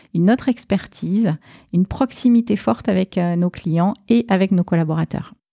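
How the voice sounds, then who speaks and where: With a southwestern French accent, a woman speaks in a dark, mellow tone at a medium pitch. Her pace is moderate and her pitch variation ordinary. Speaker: bank marketing and communications director. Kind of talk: interview.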